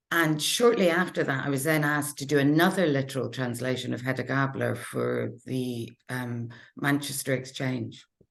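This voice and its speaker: Speaking at a moderate pace, a woman uses a very deep, low pitch with vocal fry. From UK, Norwegian mother. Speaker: literary translator. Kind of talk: panel discussion.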